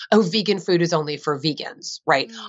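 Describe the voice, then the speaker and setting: An ordinary speaking voice from a woman with an American accent, lively intonation and a fairly quick pace. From US Northeast, New Jersey. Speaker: vegan author and advocate. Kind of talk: interview.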